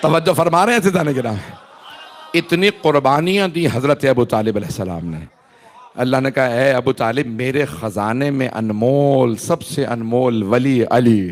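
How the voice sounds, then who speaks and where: A man at a medium pitch with very wide pitch swings, a fairly slow pace and noticeable background noise. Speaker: Shia cleric giving majlis. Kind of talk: religious sermon (majlis). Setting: gathering with audience. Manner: emphatic.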